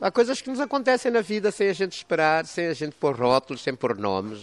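Speaking at a very fast pace, a man with a high pitch makes very wide pitch swings, the sound dry and close with no echo. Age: 60s. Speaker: chef and cultural entrepreneur. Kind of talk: interview. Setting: on location at a plantation restaurant.

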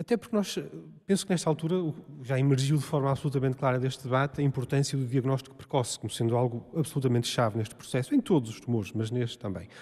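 A man talks at a very fast pace with ordinary pitch variation. His tone is dark and mellow, and somewhat breathy. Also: medium pitch for a man. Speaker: molecular genetics researcher. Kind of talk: public panel discussion. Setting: stage with audience.

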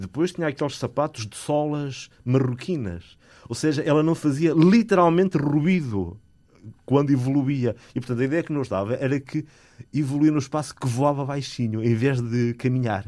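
The man's voice is fairly high, its pitch varying in an ordinary way. He keeps a moderate pace. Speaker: composer and music teacher. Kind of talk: interview. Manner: hesitant, many fillers.

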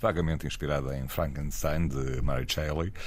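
Room echo can be heard around the voice. The man speaks at a moderate pace. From northern Portugal, Porto. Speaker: podcast host. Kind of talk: casual chat.

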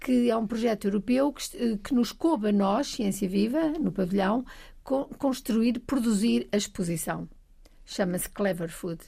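Fairly high for a woman yet dark and mellow in tone, her somewhat breathy voice moves at a fairly slow pace with lively intonation in a very clean recording with a silent background. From Portugal, Trás-os-Montes (Bragança). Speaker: science centre agency president. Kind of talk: casual chat.

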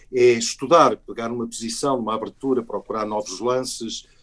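A man talks at a moderate pace in medium pitch. His is an unremarkable speaking voice. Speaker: actor and chess grandmaster, book author. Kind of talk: interview.

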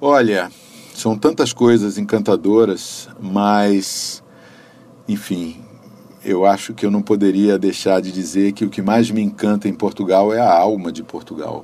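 A man with a plain, everyday voice speaks at a fairly slow pace with a fairly low pitch and fairly even intonation. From Brasília, Brazil. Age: 60s. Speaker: civil servant and visual artist. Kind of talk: interview.

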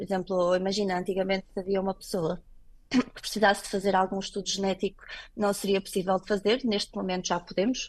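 A woman's medium-pitched, flat monotone delivered at a very fast pace with big swings in loudness. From Portugal. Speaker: clinical laboratory director. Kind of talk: radio interview.

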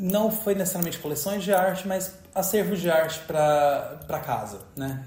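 A man with a high voice is heard with audible room echo and noticeable background noise. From Brazil, Goiás (rural interior). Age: 30s. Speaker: textile artist. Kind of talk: interview testimony.

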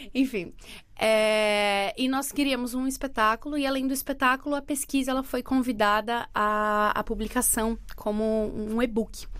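The speaker has a São Paulo accent and fairly even intonation. The pace is fairly slow in a very clean recording with a silent background. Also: woman, high pitch for a woman. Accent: Brazilian Portuguese, São Paulo. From Brazil, Santos on the São Paulo coast. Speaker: actress and arts educator. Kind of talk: interview.

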